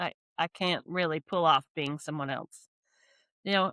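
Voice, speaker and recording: The recording is very clean, with a silent background and a dry, close sound with no echo. A woman with a Californian accent speaks in a bright, sharp tone. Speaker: business coach and podcast host. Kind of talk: interview conversation.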